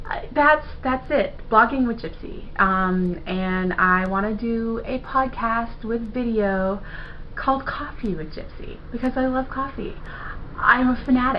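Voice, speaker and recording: A woman with a fairly high pitch and ordinary pitch variation talks at a fairly slow pace amid audible room echo. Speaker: video blogger and web designer. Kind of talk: casual vlog monologue to camera.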